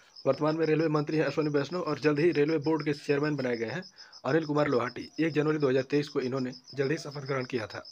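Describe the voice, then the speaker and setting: This put-on character voice is hoarse, moving at a very fast pace with fairly even intonation. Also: man, fairly high pitch for a man. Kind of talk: news explainer.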